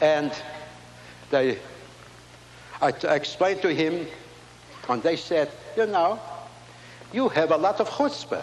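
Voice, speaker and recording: A man with a high pitch and a non-native accent speaks at a fairly slow pace with lively intonation and long, frequent pauses, amid noticeable background noise and audible room echo. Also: very even loudness. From Latvia. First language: not English. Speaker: inventor and Holocaust survivor. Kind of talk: keynote speech. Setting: stage with audience.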